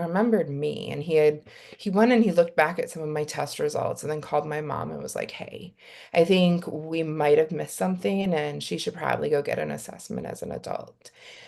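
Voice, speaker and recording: Fairly quick speech with big swings in loudness. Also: woman. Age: 40s. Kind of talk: panel discussion.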